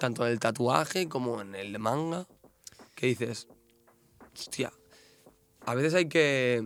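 A man's medium-pitched voice at a very slow pace, with lively intonation and long, frequent pauses. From Catalonia, Spain. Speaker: tattoo artist. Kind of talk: casual chat.

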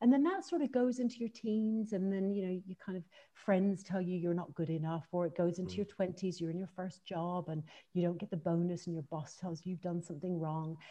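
A somewhat breathy, dark, mellow voice with ordinary pitch variation at a fairly quick pace. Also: woman, medium pitch for a woman. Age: 40s. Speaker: author. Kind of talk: interview.

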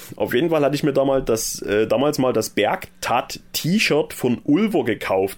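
This man has a normal speaking voice, fairly high in pitch, with lively intonation and very even loudness. He goes at a fairly slow pace with hardly any pauses. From eastern Germany, Saxony. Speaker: podcast host. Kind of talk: casual chat.

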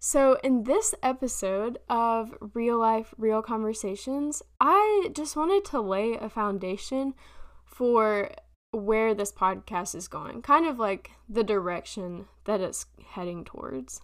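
A woman with a Southern US accent, fairly high in pitch, lively in intonation, at a very slow pace. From South Carolina. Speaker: podcast host. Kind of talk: casual monologue.

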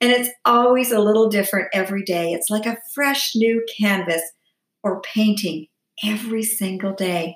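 A woman speaks at a moderate pace in a normal speaking voice, her pitch fairly high and its variation ordinary. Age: 60s. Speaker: lifestyle vlogger. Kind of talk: personal vlog monologue.

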